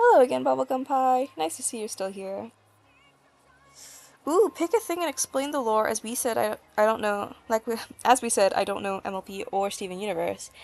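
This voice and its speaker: Music plays behind a woman with an American accent who speaks at a fairly quick pace. Her pitch is fairly high, and her intonation is lively. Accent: often mistaken for American, slightly British. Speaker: artist streamer. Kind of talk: casual livestream chat while drawing. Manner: rambling, chatty.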